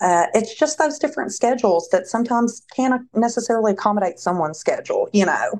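A woman with a Tennessee accent and a fairly high pitch, talking at a very fast pace with hardly any pauses, against a quiet background. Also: lively intonation. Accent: US Southern (Tennessee). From Tennessee, Nashville. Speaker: staffing agency representative. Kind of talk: casual interview.

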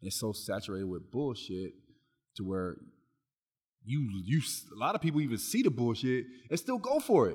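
Long, frequent pauses break up a man's moderate pace. His somewhat breathy voice swings very widely in pitch. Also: medium pitch for a man. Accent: American. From Long Beach, California. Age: 30s. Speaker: personal trainer. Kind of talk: casual chat.

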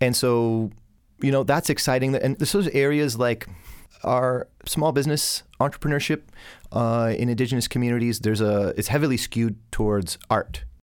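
On a very clean recording with a silent background, a man with a Canadian accent has a plain, everyday voice at medium pitch, with very even loudness, ordinary pitch variation and a moderate pace. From southern Ontario, Canada (Hamilton area). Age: young. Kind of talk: interview.

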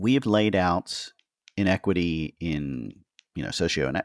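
A man with an American accent and a very deep, low pitch speaks with vocal fry and lively intonation, recorded very cleanly with a silent background and a dry, close sound with no echo. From US Northeast, Philadelphia area. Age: 50s. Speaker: podcast host. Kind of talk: interview. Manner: halting.

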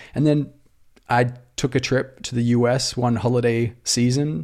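The voice has an Australian accent, a dark, mellow tone and fairly even intonation. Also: man. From rural Australia. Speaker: startup founder. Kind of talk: casual interview.

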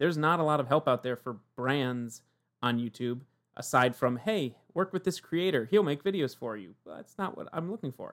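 A man with an American accent speaks at a fairly high pitch and moderate pace, with lively intonation and big swings in loudness. He has an ordinary speaking voice. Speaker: corporate video producer. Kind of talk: casual interview. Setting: home office, remote.

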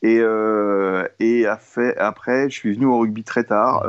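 A man's voice at medium pitch. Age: 50s. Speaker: illustrator, former advertising art director. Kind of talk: casual interview. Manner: halting, with many repetitions.

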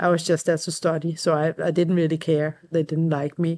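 Recorded very cleanly against a silent background, a woman with a fairly low pitch speaks at a moderate pace in a monotone, flat intonation. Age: 40s. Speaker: emergency doctor. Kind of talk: interview. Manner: halting.

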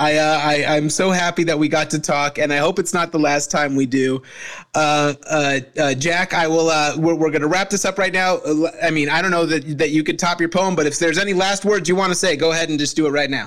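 A man with an American accent has a normal speaking voice, pitched fairly high. His fairly quick delivery keeps fairly even intonation and very even loudness. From Arizona, US. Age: 40s. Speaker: comedian and podcast host. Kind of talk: casual chat.

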